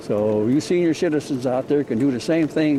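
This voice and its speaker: Over noticeable background noise, a man talks at a moderate pace in a fairly high voice with ordinary pitch variation. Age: 90s. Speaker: amateur video maker. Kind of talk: casual narration while filming. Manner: rambling, conversational.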